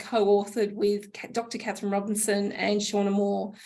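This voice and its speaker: A woman's fairly high voice with an Australian accent, plus audible room echo. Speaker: homelessness charity CEO. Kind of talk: conference presentation.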